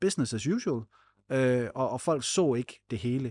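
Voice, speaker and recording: Against a quiet background, a man with a plain, everyday voice talks at a fairly slow pace at a medium pitch with ordinary pitch variation, the sound dry and close with no echo. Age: 30s. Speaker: podcast co-host. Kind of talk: podcast interview.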